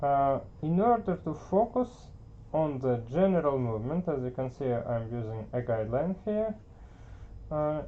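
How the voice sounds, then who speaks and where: Speaking with a non-native accent at a moderate pace, the voice leaves long, frequent pauses. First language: not English. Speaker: art teacher. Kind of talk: tutorial. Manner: hesitant, many filler words.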